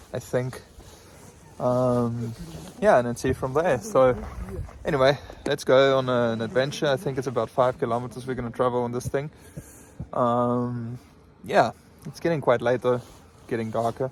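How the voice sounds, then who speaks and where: A man talks at a moderate pace and a medium pitch, with fairly even intonation and long, frequent pauses. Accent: South African. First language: Afrikaans. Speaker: travel vlogger. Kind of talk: travel vlog narration. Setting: outdoors.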